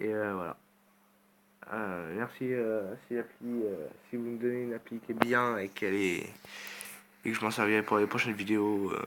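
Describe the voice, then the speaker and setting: Speaking at a moderate pace with long, frequent pauses, a man uses a fairly low pitch and fairly even intonation. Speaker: gaming youtuber. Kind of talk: gameplay commentary. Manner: halting, many filler sounds.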